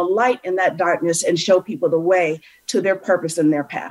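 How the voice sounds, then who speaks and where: A woman with an American accent, a plain, everyday voice, ordinary pitch variation, and a moderate pace. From US Midwest, suburb of Cleveland, Ohio. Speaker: motivational speaker and author. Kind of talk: interview. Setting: video call.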